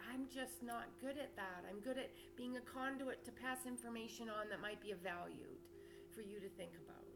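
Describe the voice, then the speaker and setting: Fairly high in pitch, a woman speaks at a fairly quick pace with lively intonation, amid audible room echo and noticeable background noise. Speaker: spiritual teacher and channel owner. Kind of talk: spiritual monologue to camera. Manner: loud, projected.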